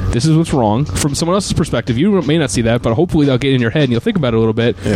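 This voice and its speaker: Someone with an American accent speaks at a very fast pace over noticeable background noise. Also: man. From Troy, New York. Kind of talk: casual chat.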